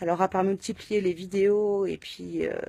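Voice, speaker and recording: A woman speaks fairly slowly at a medium pitch, her tone dark and mellow. Her intonation stays fairly even, and the sound is dry and close with no echo. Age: 30s. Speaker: patient sharing illness experience. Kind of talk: personal testimony. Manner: halting, many hesitations.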